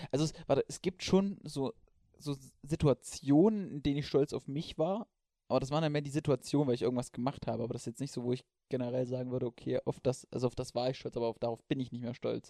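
A man speaks at a very fast pace, his medium-pitched voice dark and mellow in tone with ordinary pitch variation. The sound is dry and close, with no echo. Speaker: podcast co-host. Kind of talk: casual chat. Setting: sitting in bed at home.

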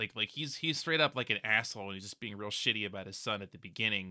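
A man with an American accent speaks in a fairly low pitch and a bright, sharp tone, with ordinary pitch variation. The sound is dry and close with no echo, on a very clean recording with a silent background. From Pennsylvania. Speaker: podcast co-host. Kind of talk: casual chat.

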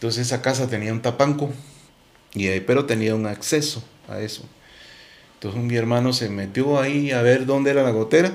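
A man at a medium pitch, ordinary pitch variation and a fairly quick pace, with long, frequent pauses. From Guatemala, Quetzaltenango. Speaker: musician. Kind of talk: interview.

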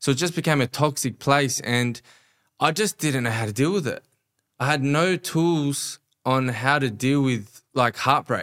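A man with an Australian accent speaks at a fairly slow pace and fairly high pitch with ordinary pitch variation, in a dry, close sound with no echo and a very clean recording with a silent background. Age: 30s. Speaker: life coach and entrepreneur. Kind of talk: casual interview chat. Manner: animated, passionate.

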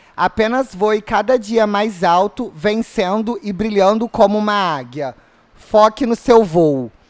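The sound is dry and close with no echo as a man talks fairly slowly in a high pitch with lively intonation. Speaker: social media page host doing a live stream. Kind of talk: casual live stream chat. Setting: studio.

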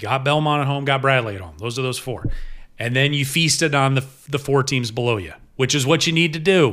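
A man talks in an ordinary speaking voice at medium pitch, with an American accent. His pace is fairly quick and his pitch variation ordinary. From upstate New York and Ohio. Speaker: sports broadcaster. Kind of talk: casual chat. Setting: kitchen table.

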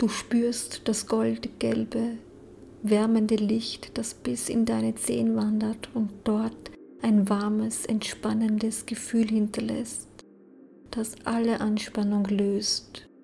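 At a very slow pace, the speaker uses a calm, soothing tone over noticeable background noise. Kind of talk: guided meditation. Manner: slow, soft, calm and soothing, with long pauses.

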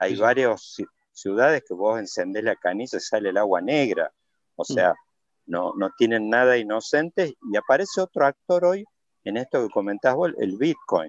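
A man with a Rioplatense accent at a moderate pace, the sound dry and close with no echo against a quiet background. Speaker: podcast host. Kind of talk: interview.

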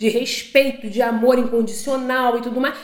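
A woman speaks in a high voice at a moderate pace. Noticeable background noise runs underneath. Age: 30s. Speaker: podcast co-host, married couple. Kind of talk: casual chat.

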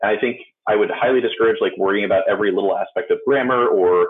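This man speaks at a very fast pace. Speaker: community content manager and speaker. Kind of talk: conference talk and Q&A. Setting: virtual conference, video stream.

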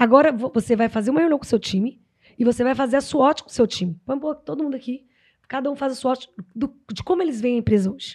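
A high-pitched woman at a very fast pace, with ordinary pitch variation. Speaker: HR consultant and psychologist. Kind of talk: podcast interview.

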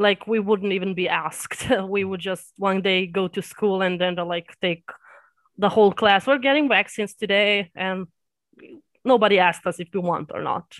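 A woman with a Serbian accent talks at a moderate pace with fairly even intonation. The sound is dry and close, with no echo. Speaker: anime reaction YouTuber. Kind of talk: casual interview.

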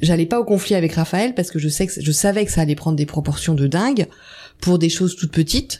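A woman speaks with a dark, mellow tone and a fairly low pitch. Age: 50s. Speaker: mother of twins. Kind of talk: testimony.

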